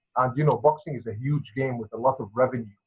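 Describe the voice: A man talks at a fast pace with a husky, rough edge, his medium pitch held in fairly even intonation.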